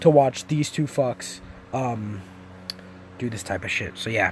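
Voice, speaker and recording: A man speaks at a moderate pace with lively intonation. It is a plain, everyday voice. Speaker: gaming YouTuber. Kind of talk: profanity-laced angry rant at YouTube drama. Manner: furious, swearing constantly, exasperated; rambling with fillers and restarts.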